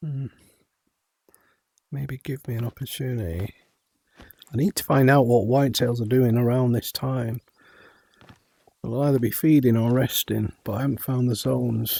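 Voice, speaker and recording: A man with a dark, mellow tone and medium pitch speaks at a moderate pace with fairly even intonation and long, frequent pauses, in a dry, close sound with no echo. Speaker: gaming streamer. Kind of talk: gameplay commentary. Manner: whispering at times; halting, self-correcting.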